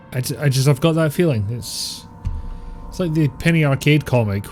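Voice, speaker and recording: A man in a Scottish accent, fairly quick pace and ordinary pitch variation, with music in the background. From Scotland. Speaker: game streamer. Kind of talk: casual live-stream chat.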